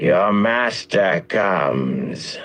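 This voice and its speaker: A man's raspy, put-on character voice, fairly low in pitch. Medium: read story. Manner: menacing, contemptuous.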